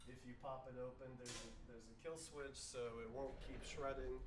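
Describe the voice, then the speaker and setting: A man at a moderate pace with fairly even intonation, amid audible room echo and noticeable background noise. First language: not English. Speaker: plastic recycling workshop organizer. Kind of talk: online info session / tutorial. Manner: halting, with many fillers.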